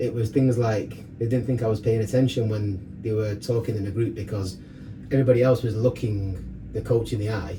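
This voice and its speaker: With noticeable background noise behind him, a man speaks at a fairly quick pace and medium pitch with fairly even intonation. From northern England, Rochdale, Greater Manchester. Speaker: fitness coach and DJ. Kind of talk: casual chat, personal story. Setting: sauna. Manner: fast.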